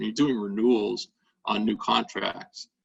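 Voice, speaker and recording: The man has an ordinary speaking voice and a medium pitch. He talks at a moderate pace with ordinary pitch variation. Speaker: lawyer. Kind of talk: webinar presentation.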